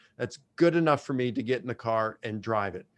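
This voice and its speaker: A man speaks fairly quickly with an American accent, using an ordinary speaking voice. His medium pitch shows ordinary pitch variation over a quiet background. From US, Baltimore. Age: 60s. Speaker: professor. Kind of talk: interview.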